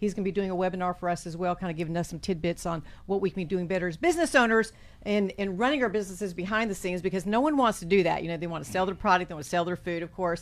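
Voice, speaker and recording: A woman speaks with a Southern US accent at a very fast pace. Her tone is animated and upbeat. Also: medium pitch for a woman, ordinary pitch variation. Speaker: chamber of commerce co-host. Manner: animated, upbeat.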